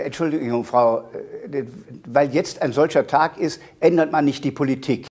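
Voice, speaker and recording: A man with a fairly high pitch speaks with fairly even intonation at a moderate pace. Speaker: politician. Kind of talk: TV interview answer.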